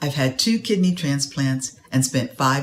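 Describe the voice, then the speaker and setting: Over noticeable background noise, a woman with a very deep, low pitch speaks at a fairly slow pace with lively intonation. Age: 60s. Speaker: patient. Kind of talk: testimony. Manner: reading from a prepared statement.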